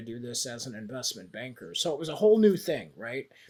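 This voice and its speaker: A man with an ordinary speaking voice, moderate in pace and fairly high in pitch. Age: 60s. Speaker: investment banker. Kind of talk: podcast interview. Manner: casual, many fillers.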